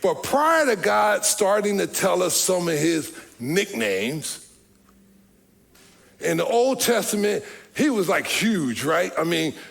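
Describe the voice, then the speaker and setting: Very slow and broken by long, frequent pauses, a man's high voice makes very wide pitch swings at very even loudness, with noticeable background noise. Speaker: pastor. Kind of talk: sermon.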